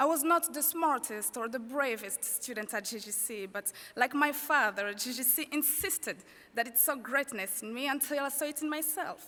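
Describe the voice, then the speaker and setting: Projecting her voice, a woman with a high pitch speaks in a bright, sharp tone at a moderate pace. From Rwanda. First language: French. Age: 20s. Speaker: student speaker, college graduate. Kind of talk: commencement speech. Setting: stage with audience.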